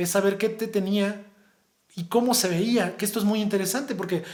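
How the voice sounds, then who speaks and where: A man's high-pitched voice with fairly even intonation and audible room echo. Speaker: high school teacher. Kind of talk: lecture. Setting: recorded video for virtual conference. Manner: fast.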